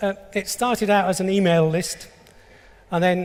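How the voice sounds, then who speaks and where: A man with an English accent, high-pitched, at a moderate pace with ordinary pitch variation. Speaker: engineer presenting a technical specification. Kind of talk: conference talk.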